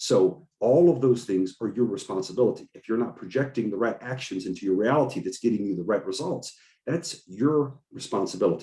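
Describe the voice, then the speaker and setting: Talking at a fairly quick pace with hardly any pauses, a man with an American accent has a dark, mellow tone. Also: medium pitch for a man, lively intonation. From United States. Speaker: podcast host and coach. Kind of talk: motivational talk on group call. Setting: video call. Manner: fast.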